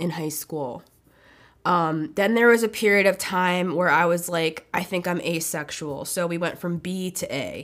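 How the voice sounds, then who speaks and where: Speaking fairly slowly, a woman uses a fairly low pitch with ordinary pitch variation. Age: 30s. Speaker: solo podcaster. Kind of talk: personal testimony monologue. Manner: halting.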